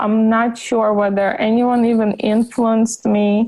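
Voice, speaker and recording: A woman's fairly high-pitched voice, dark and mellow in tone, at a fairly slow pace. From Ukraine. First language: Russian. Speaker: gut health practitioner. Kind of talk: podcast interview. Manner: halting, many repetitions.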